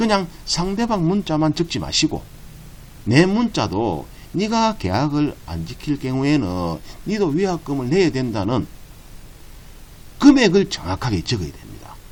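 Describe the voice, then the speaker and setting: The speech moves at a fairly slow pace with long, frequent pauses. Pitch swings very widely and loudness swings a lot. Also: man, fairly high pitch for a man. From Busan, South Korea. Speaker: real estate agent. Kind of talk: tutorial.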